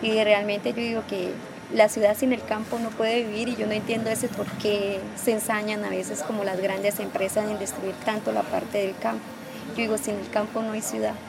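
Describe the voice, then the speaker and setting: A woman with fairly high pitch and monotone, flat intonation at a fairly quick pace, over noticeable background noise. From Colombia, Norte de Santander (Cúcuta area). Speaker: community leader and stylist. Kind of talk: interview testimony.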